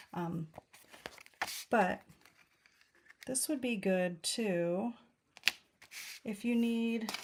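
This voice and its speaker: Mumbling quietly at a very slow pace with long, frequent pauses, a woman speaks in a fairly high pitch with ordinary pitch variation. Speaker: card-making demonstrator. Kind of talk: craft tutorial livestream. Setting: live video stream.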